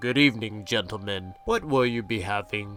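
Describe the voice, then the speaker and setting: A man uses a put-on character voice with a fairly low pitch and fairly even intonation. Faint music sits in the background. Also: moderate pace. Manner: cheery.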